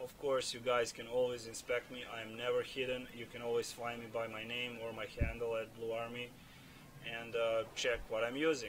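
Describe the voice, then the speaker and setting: Over noticeable background noise, the voice moves at a moderate pace with monotone, flat intonation. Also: man, medium pitch for a man. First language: not English. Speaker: gaming video creator. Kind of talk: gameplay build commentary. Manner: halting, many fillers and repeats. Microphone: cheap non-professional microphone, audible breathing.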